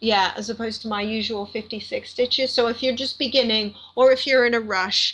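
Her fairly high pitch and fairly even intonation carry at a moderate pace as this woman speaks. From Canada. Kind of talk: podcast interview.

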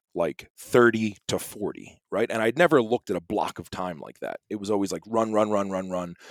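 At a moderate pace comes an unremarkable speaking voice, the sound dry and close with no echo, on a very clean recording with a silent background. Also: man. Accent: American. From US East Coast. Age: 40s. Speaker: musician and entrepreneur. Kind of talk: casual chat.

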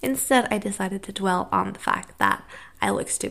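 An American accent marks this woman's speech, her pitch at a medium level. The recording is very clean, with a silent background. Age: 20s. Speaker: podcast host. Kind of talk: solo monologue podcast. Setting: sitting on floor of rented room.

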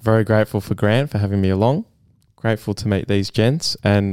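This man's voice sits fairly low and moves at a fairly quick pace, with a dry, close sound with no echo on a very clean recording against a silent background. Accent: Australian. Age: 20s. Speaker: sales professional. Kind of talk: casual interview.

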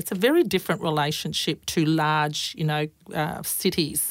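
A woman's fairly low voice in an Australian accent, on a very clean recording with a silent background. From rural Queensland, Australia. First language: Croatian. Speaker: fire and emergency services commissioner. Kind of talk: interview. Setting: studio.

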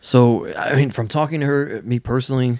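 A man has a normal speaking voice with fairly even intonation. He talks at a moderate pace. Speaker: wrestling podcast host. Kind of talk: casual podcast discussion.

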